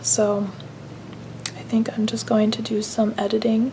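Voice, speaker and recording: Noticeable background noise surrounds a woman's whispering. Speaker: mom vlogger. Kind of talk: casual vlog talk to camera. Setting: at home at night, kids asleep. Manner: hesitant, many ums.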